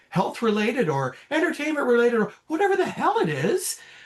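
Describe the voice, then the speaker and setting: A man talks with very wide pitch swings. Noticeable background noise runs behind him. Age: 60s. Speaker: prostate cancer survivor. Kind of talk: interview answer. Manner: candid, casual.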